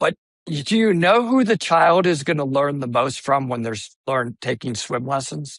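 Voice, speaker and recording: A man's fairly high voice at a moderate pace, lively in intonation, with a dry, close sound and no echo. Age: 60s. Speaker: swim school CEO and swim educator. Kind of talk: podcast interview. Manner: animated.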